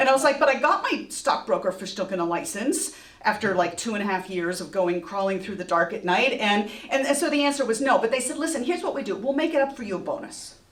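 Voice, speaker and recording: Someone with an American accent talks at a very fast pace in an animated tone with very wide pitch swings, with audible room echo and noticeable background noise. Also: woman, fairly high pitch for a woman, hardly any pauses. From partly Texas. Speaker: storyteller. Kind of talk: live storytelling. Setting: stage with audience.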